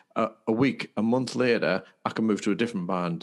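In a normal speaking voice, a man talks at a fairly low pitch and a fairly quick pace. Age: 50s. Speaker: podcast co-host and wellbeing coach. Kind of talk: casual chat.

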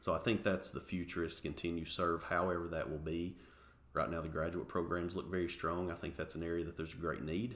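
Very fast and very deep, a man's low-pitched voice comes with an East Tennessee accent. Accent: Southern US (East Tennessee). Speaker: university marketing executive. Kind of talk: interview. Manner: enthusiastic.

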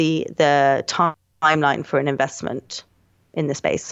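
A woman speaks with a London accent. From London, England. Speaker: media head and financial journalist. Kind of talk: casual interview.

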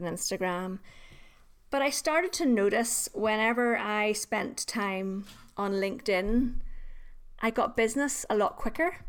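A woman speaks with a Northern Irish accent and ordinary pitch variation. The recording is very clean, with a silent background. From Northern Ireland. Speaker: LinkedIn trainer. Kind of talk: casual interview chat.

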